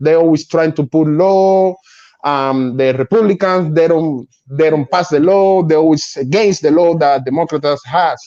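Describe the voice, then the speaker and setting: Fairly high for a man and dark and mellow in tone, his voice holds a very even loudness, with ordinary pitch variation, a moderate pace and a Spanish accent. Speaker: guest. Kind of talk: casual chat. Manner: halting.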